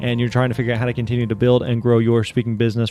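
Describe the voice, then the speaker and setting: A man talks in an upbeat tone. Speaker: podcast host. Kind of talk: podcast intro.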